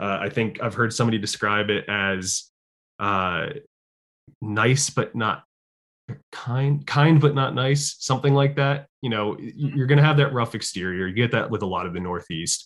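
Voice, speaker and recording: A man with an American accent speaks at medium pitch and a moderate pace in a normal speaking voice, his intonation lively, against a quiet background. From Connecticut (Fairfield). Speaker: social media creator on city history and tour guide. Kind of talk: interview, casual chat.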